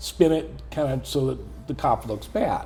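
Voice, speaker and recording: With music in the background, a man speaks at a fairly slow pace in an American accent. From Southern California. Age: 60s. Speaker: police volunteer. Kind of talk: interview answer.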